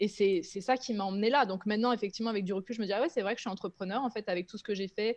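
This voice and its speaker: Hardly pausing, a woman talks very fast with fairly even intonation. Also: medium pitch for a woman. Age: 30s. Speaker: content creator, former make-up artist. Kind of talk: casual chat.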